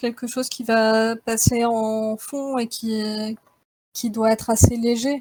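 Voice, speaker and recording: Her delivery is flat and monotone. The woman talks at a very slow pace. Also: dry, close sound with no echo. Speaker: game developer giving a talk. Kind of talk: technical presentation. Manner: hesitant, many fillers.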